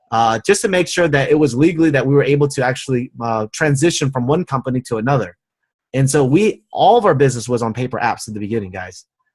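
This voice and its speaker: Against a quiet background, a man speaks very fast in an animated, somewhat breathy voice with lively intonation. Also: medium pitch for a man. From United States. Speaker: network marketing team leader. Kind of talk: motivational training webinar. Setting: online webinar with screen share.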